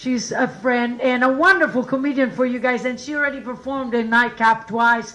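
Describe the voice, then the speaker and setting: A woman's high-pitched voice with an Italian accent, fairly quick and hardly pausing, fairly even in intonation, amid audible room echo and noticeable background noise. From Italy. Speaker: comedian and show host. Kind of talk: stand-up; introducing next comedian. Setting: stage with audience.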